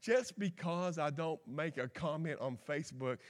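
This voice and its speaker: A man with a Kentucky accent, animated in tone, ordinary pitch variation, very clean recording and silent background. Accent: Kentucky Southern US. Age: 50s. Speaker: guest preacher. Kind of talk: folksy Pentecostal-style sermon, conversational with scripture and personal stories. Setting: church service with congregation, streamed live. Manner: animated, folksy country-preacher delivery with repetitions and asides.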